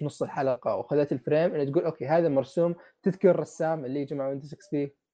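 Speaking fairly quickly, a man with a normal speaking voice keeps a fairly high pitch and fairly even intonation. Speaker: podcast host. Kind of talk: casual chat.

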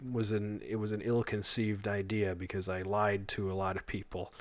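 In a plain, everyday voice, a man speaks at a fairly low pitch with fairly even intonation. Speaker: podcast co-host. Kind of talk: casual chat.

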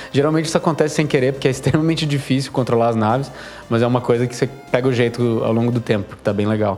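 Over music in the background, a man with a medium pitch speaks at a very fast pace with ordinary pitch variation. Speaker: game developer podcast co-host. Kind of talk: casual chat.

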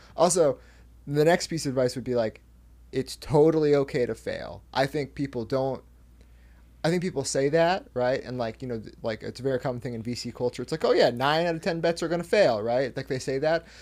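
In a very clean recording with a silent background, a man with a West Coast US accent speaks at a fairly quick pace. His pitch is fairly high, with ordinary variation. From US Pacific Northwest, Washington state. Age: 20s. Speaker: company CEO. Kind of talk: casual interview chat.

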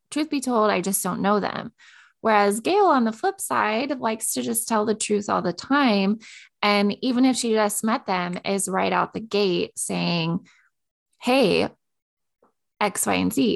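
In a plain, everyday voice, a woman with an American accent speaks at a medium pitch and a fairly slow pace, with ordinary pitch variation against a quiet background. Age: 30s. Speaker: podcast co-host. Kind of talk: casual chat.

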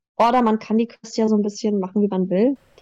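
The woman's fairly high voice carries a dark, mellow tone. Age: 20s. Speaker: voice actress. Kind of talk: interview.

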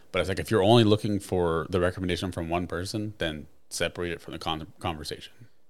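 This man talks at a very fast pace, his pitch very deep and low, his intonation fairly even. The recording is very clean, with a silent background. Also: hardly any pauses. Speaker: podcast co-host. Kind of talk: casual banter.

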